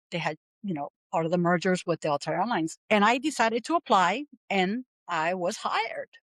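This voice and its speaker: Speaking at a fairly quick pace with lively intonation, a woman with a Puerto Rican accent sounds dry and close, with no echo. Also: medium pitch for a woman. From Puerto Rico, San Juan. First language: Spanish. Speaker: aviation professional, military veteran. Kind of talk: podcast interview.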